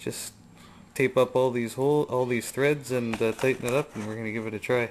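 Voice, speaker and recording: A man with an unremarkable speaking voice talks at a fairly quick pace, his medium pitch following a fairly even intonation. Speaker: DIY experimenter. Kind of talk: tutorial.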